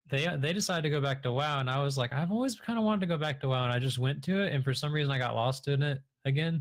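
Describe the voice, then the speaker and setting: A man talks at a very fast pace with hardly any pauses and very even loudness. His fairly high voice is somewhat breathy. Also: ordinary pitch variation. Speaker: Twitch streamer and online game player, guest in the interview. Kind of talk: casual podcast interview answer.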